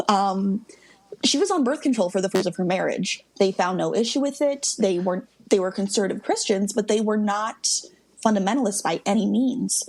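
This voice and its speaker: Speaking with an American accent, a woman uses a medium-pitched voice. Noticeable background noise can be heard. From US Midwest. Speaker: guest expert on a reality TV family. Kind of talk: casual podcast interview. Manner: fast.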